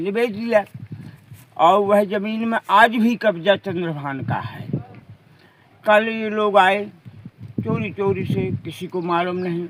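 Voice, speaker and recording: A man's intonation rises and falls in a lively way as noticeable noise sounds behind him. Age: 60s. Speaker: villager, witness. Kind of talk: news interview.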